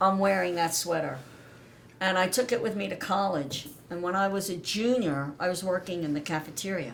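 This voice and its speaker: Over noticeable background noise and audible room echo, the speaker goes at a fairly quick pace with ordinary pitch variation. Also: woman, medium pitch for a woman. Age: 60s. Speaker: daughter of a navy veteran. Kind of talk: interview about family history.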